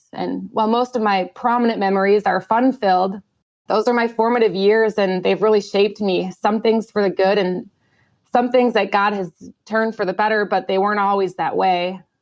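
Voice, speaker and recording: With a Midwestern accent, a woman speaks at a moderate pace and medium pitch, her intonation fairly even. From US Midwest, Minnesota. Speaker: air force pilot. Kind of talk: testimony.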